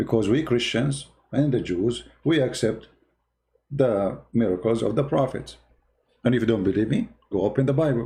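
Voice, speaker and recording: Speaking at a medium pitch with a dark, mellow tone, a man sounds somewhat breathy. His loudness stays very even, his pitch varies in an ordinary way, and he takes long, frequent pauses. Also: moderate pace. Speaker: religious debater. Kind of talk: live-stream commentary. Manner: animated; halting.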